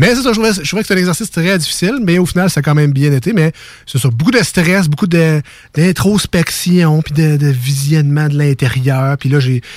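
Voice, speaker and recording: Fairly high pitch, ordinary pitch variation and a moderate pace in a man's voice, an unremarkable speaking voice. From Quebec City (Limoilou). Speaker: radio host. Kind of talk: casual radio chat.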